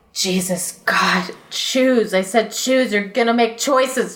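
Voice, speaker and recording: A put-on character voice at a fairly slow pace. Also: woman, fairly high pitch for a woman. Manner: exasperated, commanding.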